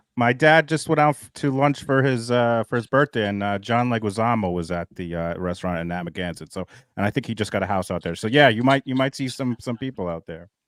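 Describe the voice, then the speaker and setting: With a New York accent, a man at medium pitch rattles along at a very fast pace with hardly any pauses, lively intonation and big swings in loudness, in a dry, close sound with no echo on a very clean recording with a silent background. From Long Island, New York. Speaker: YouTube creator. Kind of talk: casual chat.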